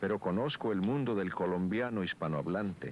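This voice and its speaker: A man's voice at a moderate pace. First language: Sikuani (Guahibo) (speaking Spanish). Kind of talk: documentary narration. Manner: formal.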